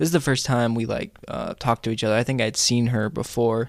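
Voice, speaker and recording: A man speaks in a normal speaking voice at medium pitch with ordinary pitch variation, on a very clean recording with a silent background. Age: 20s. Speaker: college student and radio worker. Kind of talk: casual interview chat. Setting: studio.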